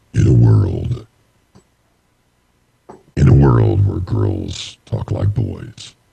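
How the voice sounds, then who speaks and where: In a put-on character voice, a man speaks at a very slow pace with a very deep, low pitch, very wide pitch swings, and long, frequent pauses. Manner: dramatic, booming.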